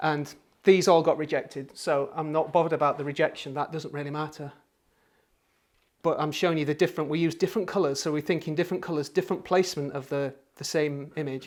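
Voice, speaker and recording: In a Yorkshire accent, a man speaks at a very fast pace and a fairly high pitch, with fairly even intonation on a very clean recording with a silent background. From Yorkshire, northern England. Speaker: creative workshop teacher and designer. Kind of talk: workshop talk. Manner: halting.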